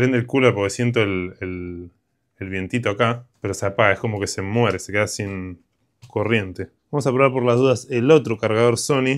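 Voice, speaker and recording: A man speaks with an Argentine accent at a moderate pace. His pitch variation is ordinary, and the background is quiet. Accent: Argentine Spanish (Rioplatense). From Argentina. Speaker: electronics repair youtuber. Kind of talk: casual repair tutorial. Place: workshop.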